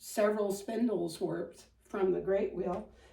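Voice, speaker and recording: In a Midwestern accent, a woman speaks at a fairly slow pace amid audible room echo. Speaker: spinning and fiber craft teacher. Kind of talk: tutorial. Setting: home dining room. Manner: casual, with frequent filler ums.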